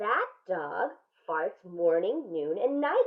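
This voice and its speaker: In a gruff, put-on character voice, the speaker moves very slowly, with very wide pitch swings. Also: woman, medium pitch for a woman. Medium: read story. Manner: gruff, loud.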